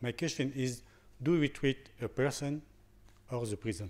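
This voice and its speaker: Delivered at a fairly slow pace, this voice speaks with a French accent and ordinary pitch variation. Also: man. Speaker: prison doctor. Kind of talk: conference talk. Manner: halting.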